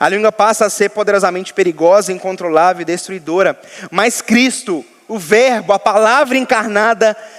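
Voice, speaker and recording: A man's high voice, with ordinary pitch variation, comes at a moderate pace through noticeable background noise. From Minas Gerais, Brazil. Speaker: pastor. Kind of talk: sermon.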